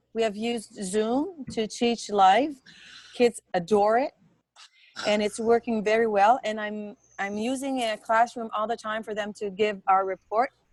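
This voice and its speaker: A woman in a Quebec accent, fairly high in pitch, fairly slow, with fairly even intonation and a dry, close sound without echo. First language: French. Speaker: teacher. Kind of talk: question during webinar.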